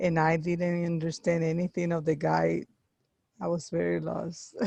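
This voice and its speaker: With a Spanish accent, the speaker keeps a moderate pace. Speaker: workshop participant. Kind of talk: casual discussion. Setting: video call.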